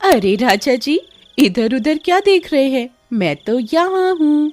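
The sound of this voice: This is a cartoonish character voice that sounds female, pitched high. It moves at a moderate pace.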